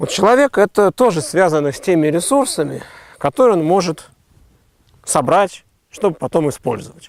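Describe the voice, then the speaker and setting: Recorded dry and close with no echo, a man speaks at a high pitch and a moderate pace, with very wide pitch swings and long, frequent pauses. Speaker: philosopher. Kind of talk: explanatory philosophical conversation.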